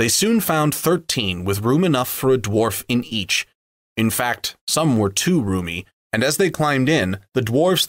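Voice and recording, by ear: The background is quiet. A person reads aloud in a natural voice.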